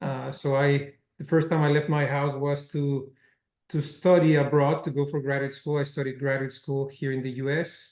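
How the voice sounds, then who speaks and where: A man speaks at a moderate pace with a slight Spanish accent. His fairly high voice stays monotone and flat. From Mexico. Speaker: cinema chain executive. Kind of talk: interview.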